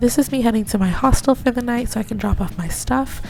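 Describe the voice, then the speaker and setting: There is music in the background. A woman talks at a fairly quick pace. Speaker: english teacher abroad, travel vlogger. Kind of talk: vlog voiceover narration.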